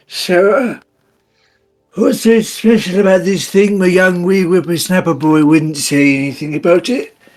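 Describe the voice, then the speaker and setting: A man puts on a character voice with a high pitch. He talks at a moderate pace. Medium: actual play. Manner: folksy, old-fashioned.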